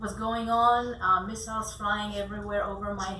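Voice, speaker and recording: A woman talks at a moderate speed, with audible room echo and noticeable noise in the background. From Israel, Tel Aviv. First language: Hebrew. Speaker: arts festival founder. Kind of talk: business pitch talk.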